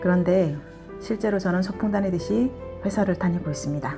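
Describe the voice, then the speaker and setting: Music plays behind the speaker. She is a woman whose pitch varies in an ordinary way. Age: 50s. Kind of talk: casual vlog narration. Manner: fast.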